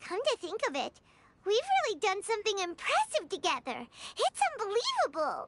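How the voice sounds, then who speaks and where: An extremely high-pitched, put-on character voice at a moderate pace, with music in the background. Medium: video game. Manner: excitable, chirpy.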